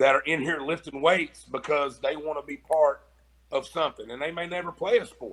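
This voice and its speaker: With an American accent, a man with a fairly high pitch speaks at a fairly quick pace, his intonation fairly even and his loudness swinging widely. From Kentucky, Mount Sterling. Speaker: high school football coach. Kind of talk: interview.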